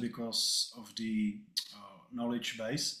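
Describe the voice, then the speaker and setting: Speaking with a non-native accent, this man has a bright, sharp tone. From Czech Republic. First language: Czech. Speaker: agency owner asking panel a question. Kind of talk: question at online panel. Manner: halting.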